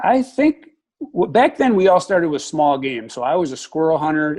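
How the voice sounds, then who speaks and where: Against a quiet background, a man with an Upper Midwest accent speaks at a fairly quick pace in a fairly high voice for a man. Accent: Upper Midwest American. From Wisconsin, Dane County. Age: 60s. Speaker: retired wildlife technician and hunting instructor. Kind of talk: interview.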